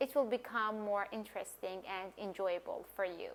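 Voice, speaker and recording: A woman speaks in a Persian accent. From Iran. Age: 20s. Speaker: language coach and polyglot. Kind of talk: casual vlog talk.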